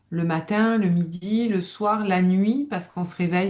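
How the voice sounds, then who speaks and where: With a southern French accent, a woman speaks in a dark, mellow, somewhat breathy tone with ordinary pitch variation. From southern France, Nice area. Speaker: stress management coach, former psychiatric nurse. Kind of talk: live webinar presentation. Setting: online webinar.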